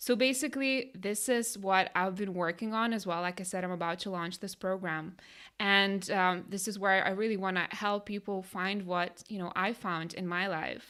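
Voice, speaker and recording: At a moderate pace with hardly any pauses, a woman with a Lithuanian accent speaks at a medium pitch in a bright, sharp tone and fairly even intonation, on a very clean recording with a silent background. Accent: Lithuanian accent, noticeable. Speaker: life coach, podcast co-host. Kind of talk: casual chat.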